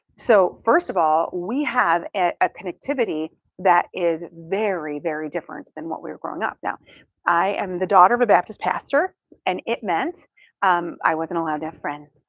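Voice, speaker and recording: A woman speaks in a plain, everyday voice with a fairly low pitch. Her pace is moderate, and her pitch varies in an ordinary way. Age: 50s. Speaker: counseling professor and speaker. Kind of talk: talk to a church audience. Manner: casual, humorous delivery with many fillers.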